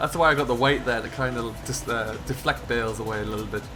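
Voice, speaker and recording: A man with a northern English accent speaks very fast and with fairly even intonation, amid noticeable background noise and audible room echo. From northern England. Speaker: gaming streamer. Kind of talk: live stream chat with viewers.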